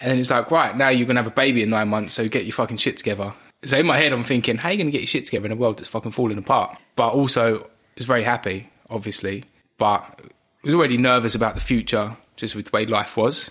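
A man with an Essex accent rattles along at a very fast pace with ordinary pitch variation. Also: medium pitch for a man. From Essex, England. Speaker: host's husband, expectant father. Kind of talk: casual chat.

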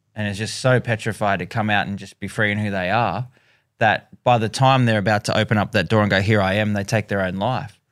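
At a fairly quick pace, a man with an Australian accent speaks in a fairly low, monotone, flat voice on a very clean recording with a silent background. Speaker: singer and youth educator. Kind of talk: interview conversation.

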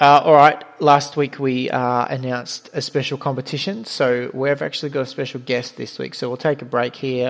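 A man talks with an Australian accent at a moderate pace. His intonation is fairly even. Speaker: podcast host, fantasy rugby league. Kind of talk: casual chat, podcast. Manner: casual, conversational.

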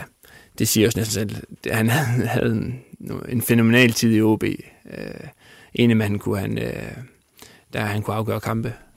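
With vocal fry and fairly even intonation, a man at medium pitch talks at a moderate pace. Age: 30s. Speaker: football coach and former player. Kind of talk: interview. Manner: halting, many fillers.

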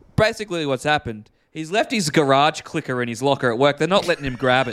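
A man with an Australian accent and a fairly high pitch speaks with ordinary pitch variation, in a very clean recording with a silent background. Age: 20s. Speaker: podcast co-host and radio presenter. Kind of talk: casual chat.

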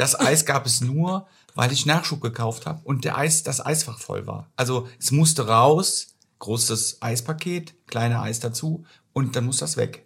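A man talks at a fairly slow pace, his medium pitch showing ordinary variation. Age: 50s. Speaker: social insurance clerk. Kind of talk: casual chat.

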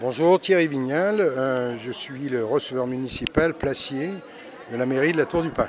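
Against noticeable background noise, a man with a fairly high pitch and ordinary pitch variation speaks at a fairly slow pace. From Lyon, France (Croix-Rousse). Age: 60s. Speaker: market officer, former goat farmer. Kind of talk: interview testimony. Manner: halting with fillers.

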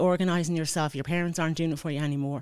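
On a very clean recording with a silent background, a woman with an Irish accent speaks at a fairly low pitch with fairly even intonation. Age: 40s. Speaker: mature student. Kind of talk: interview.

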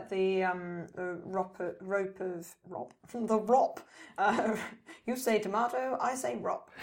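Over noticeable background noise, a voice moves at a very slow pace with lively intonation. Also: woman, medium pitch for a woman. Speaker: podcast co-host. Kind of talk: casual chat.

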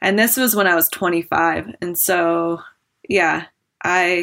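This is a woman with an American accent. She has an ordinary speaking voice. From Wyoming, US. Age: 30s. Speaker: professional skier. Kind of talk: casual chat. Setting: remote call.

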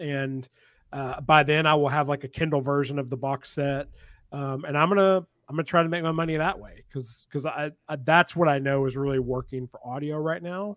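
Fairly quick and fairly high-pitched, a man talks in a normal speaking voice with fairly even intonation and big swings in loudness. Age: 30s. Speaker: author. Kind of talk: casual chat.

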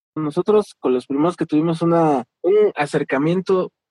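A man talks at a moderate pace in a dark, mellow tone, with a dry, close sound and no echo. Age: 30s. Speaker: delivery rider and labor organizer. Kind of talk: interview.

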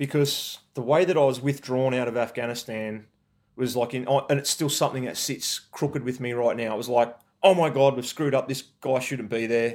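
Speaking at medium pitch and a fairly quick pace, a man talks with a rural Australian accent. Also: fairly even intonation. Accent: broad rural Australian. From Australia, rural New South Wales. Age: 40s. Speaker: army veteran. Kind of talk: interview.

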